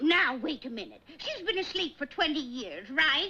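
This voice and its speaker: A female-sounding cartoonish character voice talks at a moderate pace in a high pitch. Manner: chirpy, eager.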